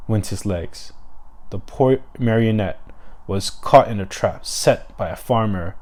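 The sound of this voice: Someone reads in an unforced voice throughout.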